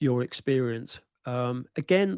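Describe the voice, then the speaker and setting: A man with an English accent speaks at a medium pitch. The sound is dry and close with no echo, over a quiet background. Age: 60s. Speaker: football writer. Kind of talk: panel discussion.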